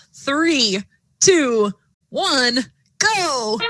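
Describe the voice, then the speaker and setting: A woman with an American accent projects a raised, high-pitched voice with a bright, sharp tone. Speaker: robotics competition commentator. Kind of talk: live commentary. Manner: animated.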